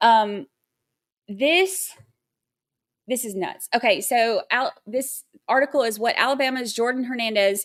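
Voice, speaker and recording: A woman's high-pitched voice with an American accent, ordinary pitch variation, a fairly slow pace and long, frequent pauses, in a very clean recording with a silent background. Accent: Southern twang when excited. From Georgia, US South (near Athens). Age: 40s. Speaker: true crime livestream host. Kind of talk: casual livestream chat. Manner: chatty, with many fillers.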